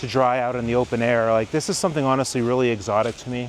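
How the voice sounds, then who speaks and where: A man with an American accent talks fairly quickly at a medium pitch. Background noise is noticeable. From Michigan, suburban Detroit. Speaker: travel vlogger, mathematician. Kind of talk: walking tour vlog. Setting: outdoors. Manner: casual, filler-heavy.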